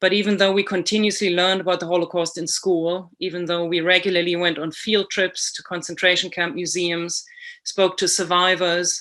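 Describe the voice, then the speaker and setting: A woman speaks with a German accent at a fairly quick pace. Her voice sits fairly low, and her intonation is monotone and flat. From Germany. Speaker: author and illustrator. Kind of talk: prepared presentation.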